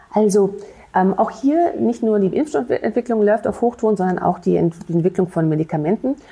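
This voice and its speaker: A woman speaks at a fairly quick pace and medium pitch, with lively intonation and very even loudness. Her tone is dark and mellow, and somewhat breathy. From Rhineland, Germany (Bonn). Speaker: infectious disease physician and professor. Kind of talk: interview. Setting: city hall studio. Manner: hesitant, many fillers.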